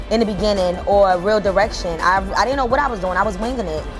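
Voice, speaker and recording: A woman with an American accent speaks at a very fast pace and a medium pitch, her intonation fairly even. Music plays in the background. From Jersey City, New Jersey. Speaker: entrepreneur and business coach. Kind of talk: interview answer. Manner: casual, conversational.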